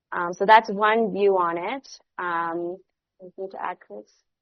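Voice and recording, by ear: A woman's medium-pitched voice at a fairly slow pace, with fairly even intonation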